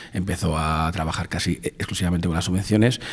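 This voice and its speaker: Over noticeable background noise, a man speaks at a fairly quick pace with a very deep, low pitch. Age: 40s. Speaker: film producer and director. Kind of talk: interview. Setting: in person at a film festival. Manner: animated.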